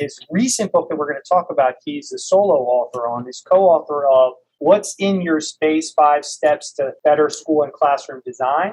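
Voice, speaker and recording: A man with a plain, everyday voice talks at a fairly slow pace with hardly any pauses, his pitch fairly high and its variation ordinary. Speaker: podcast co-host, educator. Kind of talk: interview. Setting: video call.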